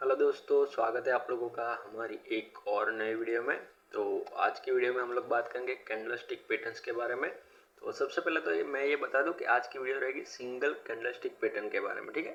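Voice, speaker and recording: This man speaks at a moderate pace. Noticeable background noise is present. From Gujarat, India. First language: Gujarati (speaking Hindi). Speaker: trading educator, YouTuber. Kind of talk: tutorial. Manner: unscripted, conversational.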